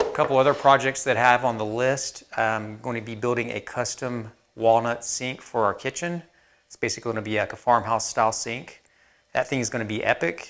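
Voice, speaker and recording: His intonation holds fairly even. The man speaks at a fairly quick pace. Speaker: woodworking channel host. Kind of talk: casual vlog chat. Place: workshop. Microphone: lapel.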